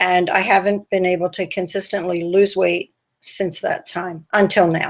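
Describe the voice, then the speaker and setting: Her intonation monotone and flat, a woman talks at a moderate pace in a medium pitch. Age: 60s. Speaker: dieting group member. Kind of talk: interview over video call.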